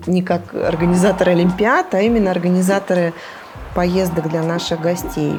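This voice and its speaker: A woman with a fairly low pitch talks at a moderate pace with fairly even intonation. Noticeable background noise is present. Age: 40s. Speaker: travel company founder. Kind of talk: interview. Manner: hesitant.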